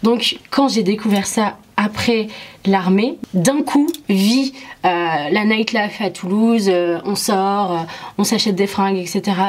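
Speaking at a very slow pace, a woman uses a medium pitch and ordinary pitch variation over noticeable background noise. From Morocco, moved to France at 8. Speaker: interview guest. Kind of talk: personal testimony.

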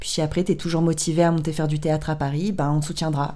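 A woman's very deep, low voice with a dark, mellow tone and audible room echo. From southern France, Draguignan area. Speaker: podcast host. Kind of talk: casual chat.

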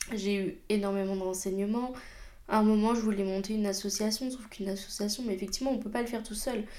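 A woman talks at a very fast pace in a fairly high pitch with fairly even intonation, and audible room echo fills the recording. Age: 20s. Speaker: podcast host and job integration counselor. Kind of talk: personal monologue.

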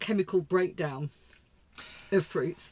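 A woman uses a normal speaking voice at a moderate pace, with ordinary pitch variation. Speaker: podcast host. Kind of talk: casual chat.

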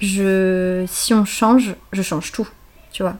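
Very slow, fairly even delivery from a woman at a medium pitch. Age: 30s. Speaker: naturopath. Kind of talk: casual chat.

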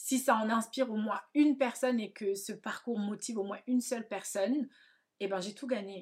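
At a moderate pace and with ordinary pitch variation, an unremarkable speaking voice carries on. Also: woman. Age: 30s. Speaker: hairdresser and podcast host. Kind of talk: personal monologue. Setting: at home.

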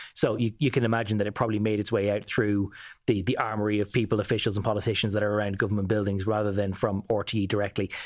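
A man with an Irish accent talks at a very fast pace in a monotone, flat intonation. His loudness stays very even on a very clean recording with a silent background. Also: fairly low pitch for a man. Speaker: political correspondent. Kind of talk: casual news discussion.

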